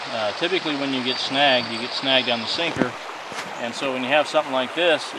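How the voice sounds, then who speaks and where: A man's very fast speech with fairly even intonation, dry with no echo, over noticeable background noise. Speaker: vlogger. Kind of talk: casual fishing tutorial chat. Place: boat. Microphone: phone near.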